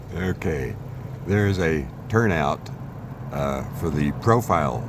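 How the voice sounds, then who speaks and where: Over noticeable background noise and audible room echo, a man speaks with a very deep, low pitch. His intonation is lively. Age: 60s. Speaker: travel vlogger. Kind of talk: travel vlog narration. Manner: casual, with frequent fillers.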